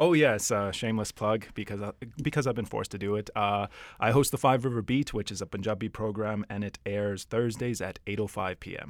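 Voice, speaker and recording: A man with a Canadian accent speaks at a fairly quick pace in an ordinary speaking voice, with ordinary pitch variation. The recording is very clean, with a silent background. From Edmonton, Canada. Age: 30s. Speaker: insurance worker, film fan guest. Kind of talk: casual chat.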